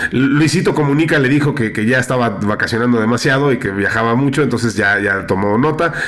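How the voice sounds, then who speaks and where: A man speaks at a fairly quick pace and medium pitch, with ordinary pitch variation and hardly any pauses. Noticeable background noise and audible room echo are present. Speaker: podcast host. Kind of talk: casual chat. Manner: hesitant with many fillers.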